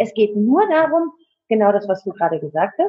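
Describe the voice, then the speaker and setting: A woman speaks at a moderate pace in a medium pitch, her voice somewhat breathy and her pitch swinging very widely. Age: 40s. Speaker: coach and network marketing partner. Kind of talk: interview, personal life story. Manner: hesitant with many fillers.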